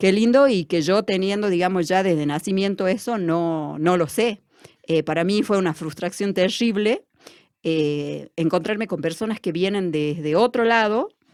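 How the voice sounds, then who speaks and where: This woman has an ordinary speaking voice at a medium pitch. She talks at a fairly slow pace with ordinary pitch variation. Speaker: education student and community worker. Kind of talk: interview. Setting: studio.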